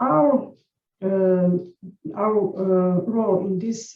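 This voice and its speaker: A woman's dark, mellow tone, somewhat breathy, sits at a medium pitch and shows ordinary pitch variation. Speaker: nursing educator. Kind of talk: conference presentation. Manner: halting.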